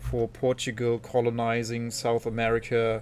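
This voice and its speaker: A man speaks at a medium pitch with a German accent. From Germany. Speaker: video game streamer. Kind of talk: live stream commentary, casual chat with viewers.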